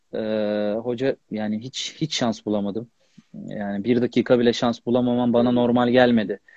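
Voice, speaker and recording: With a quiet background and a dry sound with no echo, a man talks at a fairly slow pace in a dark, mellow tone with fairly even intonation. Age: 30s. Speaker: professional footballer; guest. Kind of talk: casual interview. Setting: Instagram live video call. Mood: calm, somewhat aggrieved. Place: home room. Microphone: unstable internet connection; earbuds.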